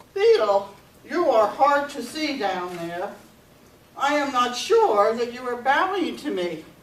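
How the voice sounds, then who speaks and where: In a put-on character voice, a woman growls at a high pitch and a fairly slow pace. A slight echo can be heard. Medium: read story. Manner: pompous, growling.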